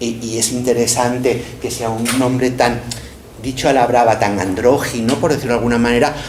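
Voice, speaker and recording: Over noticeable background noise and audible room echo, a man talks. His pitch is medium and his pace fairly slow. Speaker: professor. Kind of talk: lecture.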